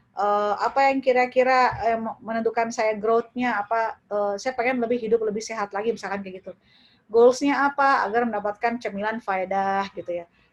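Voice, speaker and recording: With a plain, everyday voice, a woman talks at a fairly quick pace in a fairly high pitch, using fairly even intonation and hardly any pauses. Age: 30s. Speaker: lecturer, e-commerce workshop speaker. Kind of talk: webinar lecture. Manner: casual, conversational.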